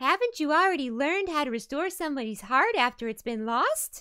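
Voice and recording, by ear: The speaker uses a put-on character voice. The delivery is fairly quick. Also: woman, high pitch for a woman.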